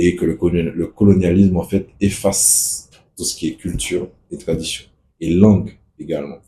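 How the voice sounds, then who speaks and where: A man with a Martinican accent speaks at a very deep, low pitch with a dark, mellow tone. His voice is somewhat breathy, with fairly even intonation at a moderate pace. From Martinique. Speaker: activist spokesperson. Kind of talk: casual video monologue.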